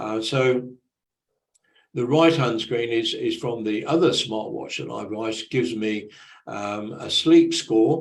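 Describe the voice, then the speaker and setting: At a fairly slow pace, a speaker with a British accent talks amid audible room echo. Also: man, medium pitch for a man, ordinary pitch variation. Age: 70s. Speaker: conference presenter. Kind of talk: presentation. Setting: online conference presentation. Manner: halting, many fillers.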